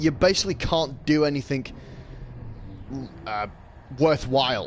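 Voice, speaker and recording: A man's fairly high-pitched voice with an English accent, at a fairly slow pace. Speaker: gaming streamer. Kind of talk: live gameplay commentary. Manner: halting.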